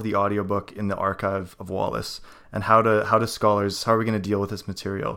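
A man with a Canadian accent speaks at a very fast pace in a fairly low pitch. His intonation is monotone and flat, on a very clean recording with a silent background. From Canada. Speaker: podcast host. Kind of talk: casual chat.

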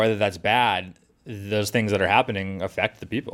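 An unremarkable speaking voice, this man's is fairly low. He talks at a fairly quick pace with an American accent. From Massachusetts South Shore (Scituate). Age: 30s. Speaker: local newspaper reporter. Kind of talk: casual chat.

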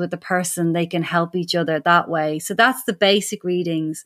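A woman with a strong Irish accent speaks with fairly even intonation in a very clean recording with a silent background. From Ireland. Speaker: animal communicator. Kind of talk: interview.

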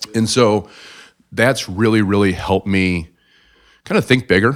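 With a Midwestern American accent, a man talks at a fairly low pitch with fairly even intonation. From US Midwest, South Bend, Indiana. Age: 40s. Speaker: financial advisor. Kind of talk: interview.

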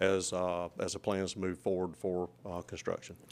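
This man's voice is very deep and low, delivered in a flat monotone. He talks at a fairly quick pace. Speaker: county administrator. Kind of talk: public meeting discussion.

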